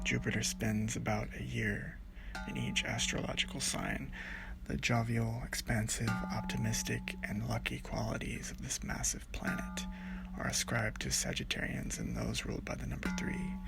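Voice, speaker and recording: A man whispers, soft-spoken, with music in the background. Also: moderate pace. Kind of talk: ASMR read-along of a book, relaxing sleep-aid reading. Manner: whispery, soft.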